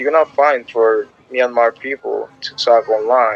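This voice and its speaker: With noticeable background noise, a man's voice comes across dry and close, with no echo. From Panama. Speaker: language app user chatting. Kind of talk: casual chat.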